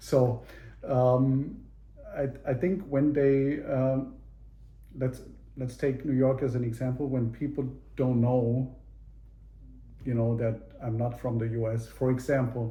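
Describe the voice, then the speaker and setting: A somewhat breathy man with a slight German accent and a dark, mellow tone, in a monotone, flat intonation at a fairly slow pace with long, frequent pauses, amid audible room echo. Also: medium pitch for a man. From Germany (Munich). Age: 50s. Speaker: interviewee, father. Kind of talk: casual interview. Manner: halting, many fillers and repeats.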